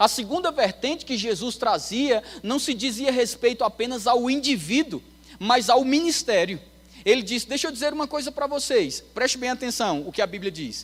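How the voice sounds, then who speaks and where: A man's extremely high voice, lively in intonation, at a moderate pace. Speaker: Bible school teacher and preacher. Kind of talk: sermon.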